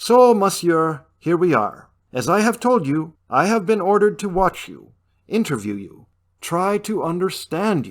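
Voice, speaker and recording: In a very clean recording with a silent background, a man puts on a character voice, high in pitch, at a moderate pace with lively intonation and big swings in loudness. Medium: read story. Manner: dry, wry.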